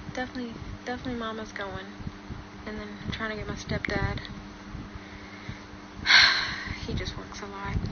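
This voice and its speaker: Against loud background noise, a woman talks at a moderate pace in a weary tone. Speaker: livestreamer. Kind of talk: casual livestream chat. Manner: weak, weary voice, with a sigh. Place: home room. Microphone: phone near.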